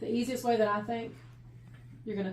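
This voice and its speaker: A woman is speaking. The recording has audible room echo and noticeable background noise. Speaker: audiologist fitting hearing aids. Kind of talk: instructional explanation to a patient.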